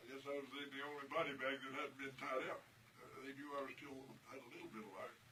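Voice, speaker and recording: Against noticeable background noise, a man talks very fast in a fairly high, monotone voice with flat intonation and big swings in loudness. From New Mexico. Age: 80s+. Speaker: World War II veteran. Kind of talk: interview answer.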